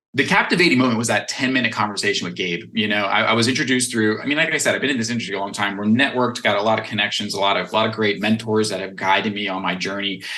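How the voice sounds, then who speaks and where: A man with an American accent speaks very fast at a fairly low pitch with ordinary pitch variation. Audible room echo and noticeable background noise come through. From Western Pennsylvania, US. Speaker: nonprofit fundraiser and tech business developer. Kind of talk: interview.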